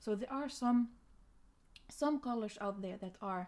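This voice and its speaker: With a non-native accent, a woman speaks at a moderate pace in a dark, mellow tone with ordinary pitch variation. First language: not English. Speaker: art tutor. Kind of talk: tutorial. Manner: halting.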